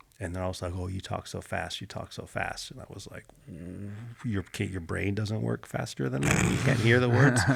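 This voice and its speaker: Noticeable background noise sits behind this speaker. He is a man with a very deep, low pitch and lively intonation. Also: moderate pace, big swings in loudness. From Pittsburgh area, Pennsylvania, then California from age 11. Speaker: former marine and jiu-jitsu coach. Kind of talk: podcast interview. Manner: conversational, with many fillers.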